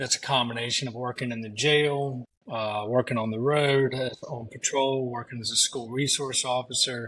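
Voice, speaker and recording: Hardly pausing at a moderate pace, a man with a Southern US accent speaks at a medium pitch in a bright, sharp tone with monotone, flat intonation. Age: 40s. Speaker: pressure washing business owner, former police officer. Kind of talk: casual chat. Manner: halting, many fillers.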